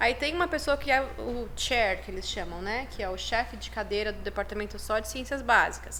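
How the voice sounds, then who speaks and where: With hardly any pauses, a woman talks at a moderate pace, her loudness swinging widely, and the room echo is audible. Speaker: chiropractic professor and university program head. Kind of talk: podcast interview, casual chat.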